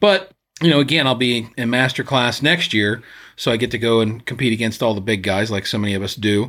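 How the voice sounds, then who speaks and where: A man speaks fairly quickly in an ordinary speaking voice, medium in pitch with ordinary pitch variation. The recording is very clean, with a silent background. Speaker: podcast co-host and clay shooter. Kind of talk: casual chat. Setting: studio.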